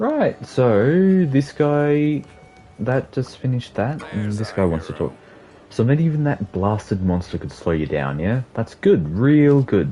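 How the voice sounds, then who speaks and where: Against noticeable background noise, the speaker talks at a fairly slow pace in an Australian accent, with very wide pitch swings. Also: man, medium pitch for a man. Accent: thick Australian. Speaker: video game streamer. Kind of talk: casual gaming livestream chat.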